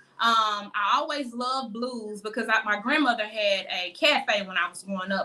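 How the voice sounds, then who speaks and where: Speaking with hardly any pauses, a woman with a Mississippi accent has a fairly high pitch and ordinary pitch variation. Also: big swings in loudness. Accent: Mississippi Southern US. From US South. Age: 30s. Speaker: singer. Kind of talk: interview.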